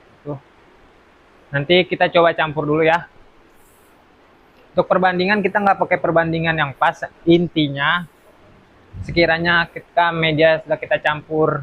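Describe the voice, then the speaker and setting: At a moderate pace, the speaker uses a monotone, flat intonation broken by long, frequent pauses. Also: man, high pitch for a man. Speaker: plant nursery owner. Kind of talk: tutorial. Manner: soft-spoken; casual. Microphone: quiet voice.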